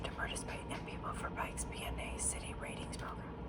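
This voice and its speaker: A woman whispers at a very fast pace. There is noticeable background noise. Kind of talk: ASMR whispered magazine reading. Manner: whispered, soft-spoken.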